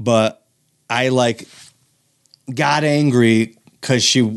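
A man speaks with an American accent. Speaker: comedian. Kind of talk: casual chat.

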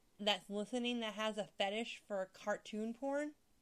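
A woman speaks at a moderate pace in a normal speaking voice. Her pitch is fairly high. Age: 30s. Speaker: host's wife, non-gamer. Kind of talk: casual chat.

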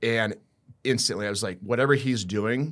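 This is a normal speaking voice, a man with an American accent at a medium pitch and fairly even intonation. The recording is very clean, the background silent. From US Midwest, Iowa. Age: 30s. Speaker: sports therapist. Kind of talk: casual chat.

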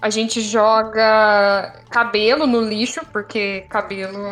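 A woman speaks with a fairly high pitch. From Brazil, São Paulo. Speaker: podcast co-host. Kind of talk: casual chat. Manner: animated.

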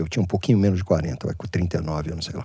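On a very clean recording with a silent background, a man talks at a fairly quick pace in a somewhat breathy voice with a dark, mellow tone. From Brazil, Santos. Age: 60s. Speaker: business founder. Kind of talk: casual chat.

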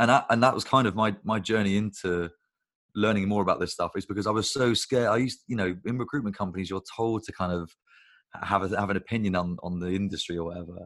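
The speaker talks very fast with a British accent and fairly even intonation against a quiet background. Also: man, fairly low pitch for a man. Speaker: agency founder. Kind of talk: casual chat.

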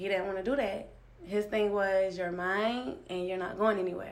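Audible room echo surrounds a woman speaking at medium pitch with fairly even intonation. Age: 20s. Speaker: guest sharing abuse story. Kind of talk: testimony. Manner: halting.

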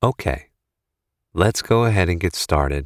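On a very clean recording with a silent background, a man speaks in a very deep, low pitch with a calm, soothing tone. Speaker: meditation guide. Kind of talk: guided meditation. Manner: slow, calm and soothing, with long pauses between phrases; gentle, soft-spoken.

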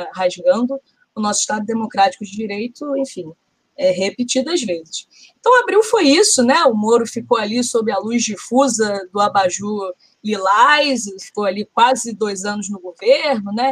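A woman talks at a moderate pace in a normal speaking voice, her pitch fairly high with ordinary variation. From Rio de Janeiro, north zone. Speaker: podcast co-host. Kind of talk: casual political discussion.

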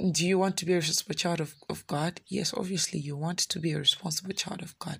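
A woman with a fairly low pitch sounds somewhat breathy and keeps her intonation fairly even on a very clean recording with a silent background. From Malawi. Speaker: pastor. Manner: conversational, earnest; heartfelt, pleading, emotional when voicing prayer: "Lord, it hurts a lot".

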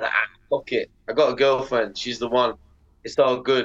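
A man at a moderate pace, in a Mancunian accent. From northern England, Manchester/Bolton. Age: 30s. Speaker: professional skateboarder. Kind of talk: casual chat.

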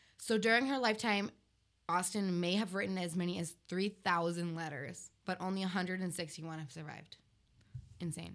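Delivered at a fairly brisk tempo, a plain, everyday voice shows ordinary pitch variation. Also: woman, fairly low pitch for a woman. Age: 20s. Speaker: podcast co-host, English literature graduate. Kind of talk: casual chat.

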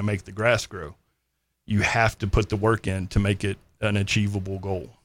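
In a Texan accent, a man speaks at a fairly low pitch and a moderate pace. His intonation is fairly even, and the recording is very clean with a silent background. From North Texas. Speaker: army veteran. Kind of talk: casual interview.

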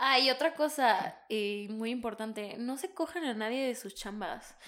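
This is an ordinary speaking voice from a woman, pitched fairly high. She talks at a fairly slow pace with lively intonation. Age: 20s. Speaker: podcast co-host. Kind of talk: casual chat.

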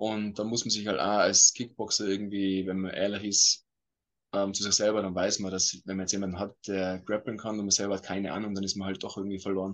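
Fairly quick and monotone with flat intonation, a man speaks at a fairly low pitch against a quiet background. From Austria, Tyrol (Innsbruck). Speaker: MMA fighter. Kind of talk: interview.

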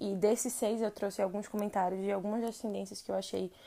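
A woman's medium-pitched, fairly even voice in a very clean recording with a silent background. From Recife, Brazil. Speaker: podcast host, advertising strategist. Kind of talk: solo podcast monologue.

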